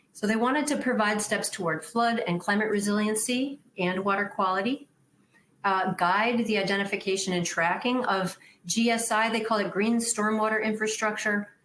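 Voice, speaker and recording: With a Wisconsin accent, a woman speaks in a fairly even intonation. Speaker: stormwater engineer. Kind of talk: conference presentation. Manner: casual, conversational with fillers.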